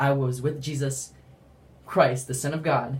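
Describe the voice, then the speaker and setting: Somewhat breathy and fairly high in pitch, a man speaks with monotone, flat intonation. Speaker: religious vlogger. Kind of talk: testimony. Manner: fast; halting.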